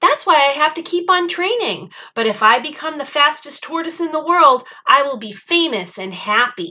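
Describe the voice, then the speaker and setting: A woman puts on a character voice. Her pitch is high and her pace is moderate. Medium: read story.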